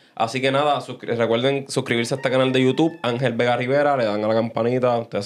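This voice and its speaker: At a very fast pace, a man speaks at medium pitch with very even loudness. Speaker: podcast host. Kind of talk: casual chat. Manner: animated.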